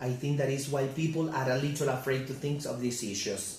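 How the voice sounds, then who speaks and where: Amid noticeable background noise and audible room echo, a man with a Spanish accent talks at a fairly quick pace with monotone, flat intonation. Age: 30s. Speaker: English teacher. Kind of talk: class presentation. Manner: halting.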